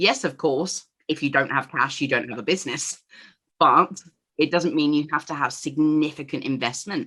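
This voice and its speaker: A woman's very deep, low voice with an English accent, bright and sharp in tone, at a moderate pace with ordinary pitch variation. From England. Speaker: entrepreneur. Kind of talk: interview.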